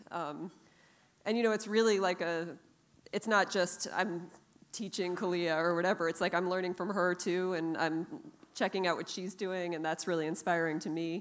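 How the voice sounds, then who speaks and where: This is an ordinary speaking voice. A woman talks at a moderate pace, fairly low in pitch, with fairly even intonation. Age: 40s. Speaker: jazz guitarist. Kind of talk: panel discussion. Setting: stage with audience. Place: stage. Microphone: handheld.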